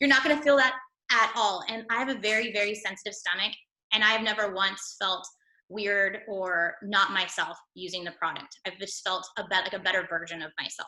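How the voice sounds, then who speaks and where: Her tone is bright and sharp as this woman talks at a fairly quick pace. Her pitch varies in an ordinary way. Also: medium pitch for a woman. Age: 30s. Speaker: wellness product promoter. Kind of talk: sales pitch. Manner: fast; casual, chatty.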